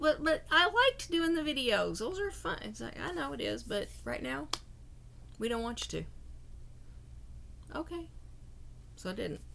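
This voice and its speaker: Moderate speed from a female speaker, broken by long pauses that come often. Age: 60s. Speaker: tarot reader. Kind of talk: casual monologue to camera. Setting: motel room. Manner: halting, with many repeated words.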